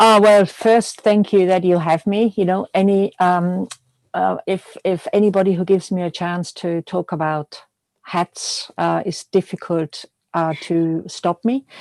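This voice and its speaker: A woman with a slight Austrian accent speaks fairly slowly at a medium pitch with fairly even intonation. The sound is dry and close with no echo, over a quiet background. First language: German. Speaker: milliner. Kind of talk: interview. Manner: halting.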